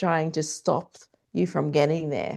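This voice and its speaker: An Australian accent at a moderate pace over a quiet background. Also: woman. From Australia (Canberra). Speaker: transformational coach. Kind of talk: podcast interview.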